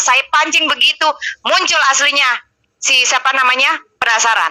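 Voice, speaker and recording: In a raised, projected voice, a woman speaks at a fairly slow pace. Her pitch is high, with ordinary variation. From East Java, Surabaya. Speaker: live-stream host. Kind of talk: heated debate. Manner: harsh, blunt tone.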